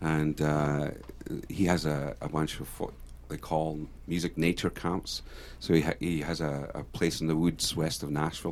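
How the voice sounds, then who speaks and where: Vocal fry runs through this speech, which has fairly even intonation and a moderate pace. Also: man, very deep, low pitch for a man. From Scotland, Jedburgh (Scottish Borders). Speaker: singer-songwriter. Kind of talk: radio interview. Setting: studio.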